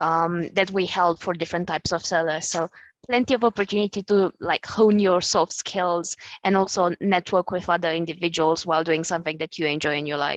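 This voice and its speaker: A woman with a non-native accent at a fairly quick pace, fairly even intonation, and a quiet background. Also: fairly low pitch for a woman, dry, close sound with no echo. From Eastern Europe. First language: not English. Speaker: graduate employee. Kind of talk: panel discussion.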